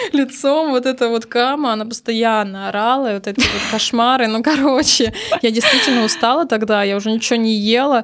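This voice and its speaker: A woman speaks with a fairly high pitch and fairly even intonation. Noticeable background noise sits behind her. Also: fairly quick pace. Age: 30s. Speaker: makeup artist and beauty blogger. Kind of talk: casual interview chat.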